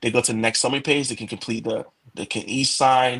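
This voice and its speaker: A man speaks. His pitch sits in the middle range. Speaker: product manager presenting new features. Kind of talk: product demo walkthrough. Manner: fast.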